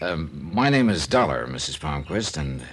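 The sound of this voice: In a put-on character voice, a man talks at a moderate pace with extremely low pitch, big pitch swings and a fairly bright tone.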